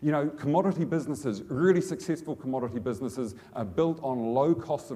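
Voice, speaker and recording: A man with a New Zealand accent, fairly high in pitch, with a dark, mellow tone, lively intonation and a fairly quick pace. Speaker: business executive. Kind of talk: conference speech. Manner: halting.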